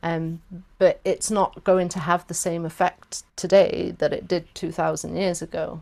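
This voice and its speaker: A woman with a South Welsh accent talks at a fairly slow pace. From South Wales. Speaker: workshop facilitator. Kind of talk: workshop discussion. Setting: video call.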